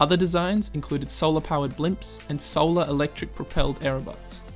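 Over music in the background, a man speaks at a fairly quick pace with ordinary pitch variation. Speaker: science video narrator. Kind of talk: educational narration.

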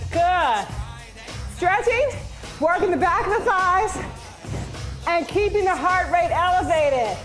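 A woman talks fairly slowly with an extremely high pitch and lively intonation. Music plays in the background. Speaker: fitness instructor. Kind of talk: workout class cueing and counting. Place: gym. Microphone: headset.

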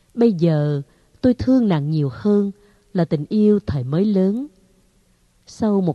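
Woman's fairly low, dark, mellow voice with a warm tone and lively intonation, at a very slow pace, in a dry, close sound with no echo. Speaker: audiobook narrator. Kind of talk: literary audiobook reading of a short story, first-person nostalgic narration. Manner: slow, warm, wistful and formal, with soft expressive pacing.

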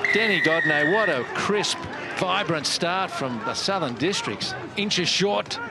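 An animated man at a fairly slow pace, with noticeable background noise. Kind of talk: live rugby match commentary. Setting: broadcast match commentary at a rugby ground. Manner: animated, rising to a shout at tries.

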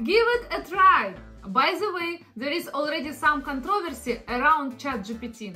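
With faint music in the background, a woman with a non-native accent uses a raised, projected voice, lively intonation and a fairly slow pace. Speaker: content creator. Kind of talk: casual explainer talk to camera. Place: home room.

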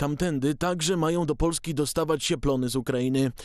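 In an ordinary speaking voice, a man talks at a fairly quick pace and fairly high pitch with fairly even intonation. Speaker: news presenter. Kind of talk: formal newsreading. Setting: studio. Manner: formal, brisk and even-paced, steady delivery; neutral, measured, authoritative tone.

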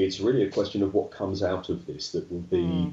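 A man speaks in a fairly low, somewhat breathy voice. His tone is dark and mellow, with audible room echo. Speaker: guest. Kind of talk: interview answer. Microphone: video call.

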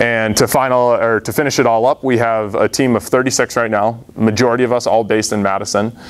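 At a fairly quick pace with hardly any pauses, a man with an American accent speaks at a medium pitch in monotone, flat intonation. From Massachusetts. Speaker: startup founder; presenter. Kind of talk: audience Q&A answers; business pitch. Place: meeting room. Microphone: lapel.

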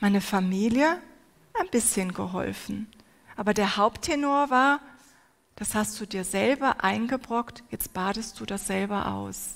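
A woman speaks at a fairly slow pace. Her pitch variation is ordinary. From Turkey. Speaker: preacher. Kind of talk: sermon. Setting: stage with audience. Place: hall. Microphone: headset.

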